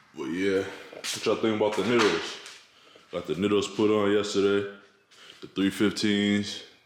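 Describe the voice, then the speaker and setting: Against noticeable background noise and audible room echo, a man talks at a fairly slow pace in a relaxed tone with a fairly low pitch. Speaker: car vlogger. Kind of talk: casual vlog tutorial. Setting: home garage. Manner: relaxed, casual.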